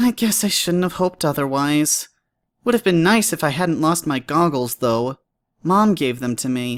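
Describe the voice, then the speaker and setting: At a middle pitch and moderate pace, the speaker does a put-on character voice in a very clean recording with a silent background. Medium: read story. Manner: friendly, wry.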